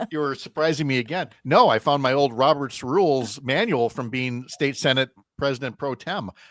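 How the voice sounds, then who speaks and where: A man speaks in a fairly high pitch with an Upper Midwest accent. His pace is moderate and his pitch variation ordinary. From Wisconsin. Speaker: radio host. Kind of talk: radio talk show; sports news reading.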